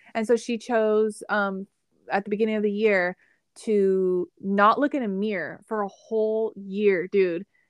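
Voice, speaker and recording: With an unremarkable speaking voice, a woman talks fairly slowly at a medium pitch and fairly even intonation, in a dry, close sound with no echo and a quiet background. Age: 20s. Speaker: podcast host. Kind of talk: casual chat. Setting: recorded conversation with sister.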